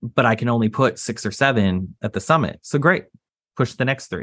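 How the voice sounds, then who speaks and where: With an American accent and a normal speaking voice, a man talks at a moderate pace in a medium pitch with ordinary pitch variation, on a very clean recording with a silent background. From Texas. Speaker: property insurance lawyer and entrepreneur. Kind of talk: interview.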